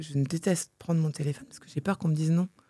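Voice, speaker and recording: Here a woman speaks with a very deep, low pitch. The sound is dry and close, with no echo. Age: 40s. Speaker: entrepreneur and mother. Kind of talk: interview. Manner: animated.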